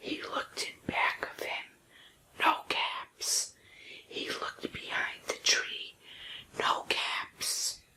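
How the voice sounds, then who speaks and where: Whispering very slowly with long, frequent pauses, the speaker is heard over noticeable background noise. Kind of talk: bedtime story reading. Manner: whispered.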